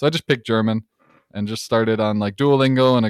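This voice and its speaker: Very fast speech with a Midwestern US accent, fairly even intonation and a dry, close sound with no echo. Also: man. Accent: US Midwest. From Detroit suburbs, Michigan, US. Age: 20s. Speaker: mechanical engineer and content creator. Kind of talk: casual chat.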